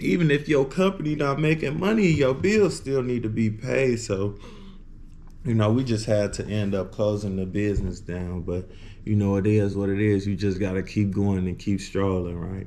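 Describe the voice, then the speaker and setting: With audible room echo, a man speaks at a moderate pace in a fairly low, dark, mellow voice with lively intonation. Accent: American. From US Midwest, Illinois. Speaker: vlogger. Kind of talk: casual vlog talk to camera. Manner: casual, filler-heavy.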